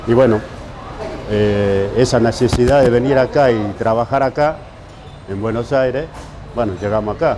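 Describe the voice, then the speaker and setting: A man at medium pitch and a moderate pace, with fairly even intonation, long, frequent pauses, audible room echo and noticeable background noise. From Argentine interior. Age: 60s. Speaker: pizzeria worker. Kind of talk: interview.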